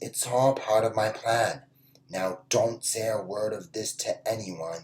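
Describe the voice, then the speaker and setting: This is a put-on character voice with a low pitch. The delivery is fairly slow. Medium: read story. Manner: casual, self-assured.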